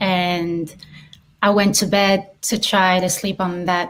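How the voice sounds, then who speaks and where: A woman with a French accent, very slow and monotone, with flat intonation. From southern France, Marseille. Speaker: filmmaker and actress. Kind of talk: interview.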